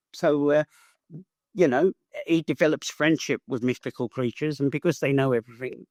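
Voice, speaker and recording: In an ordinary speaking voice, a man speaks at a fairly quick pace and fairly high pitch with fairly even intonation, the sound dry and close with no echo. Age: 60s. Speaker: author. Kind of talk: interview.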